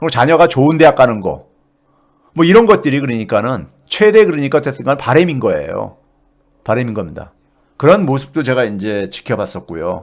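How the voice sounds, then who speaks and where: A man speaks in a South Korean accent at a fairly high pitch and a fairly quick pace. His voice shows vocal fry and very wide pitch swings. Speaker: economics professor. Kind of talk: casual storytelling talk. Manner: halting, many fillers.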